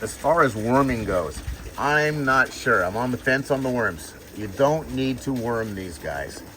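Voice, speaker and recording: With noticeable background noise, a man talks at a fairly slow pace and a medium pitch. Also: lively intonation. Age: 60s. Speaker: fish breeder. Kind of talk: casual tutorial. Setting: barn. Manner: casual, hesitant with fillers.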